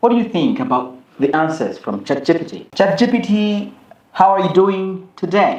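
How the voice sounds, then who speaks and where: A man speaks with a high pitch and lively intonation. The room gives off audible echo. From Rwanda. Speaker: YouTuber. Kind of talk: interview. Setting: live stream. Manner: loud.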